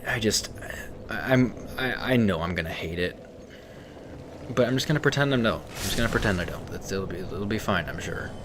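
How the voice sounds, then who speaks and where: At a fairly quick pace with ordinary pitch variation, the speaker leaves long, frequent pauses, amid audible room echo and noticeable background noise. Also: man, fairly low pitch for a man. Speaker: video game streamer. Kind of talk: casual gameplay stream chat. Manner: halting, repeats words.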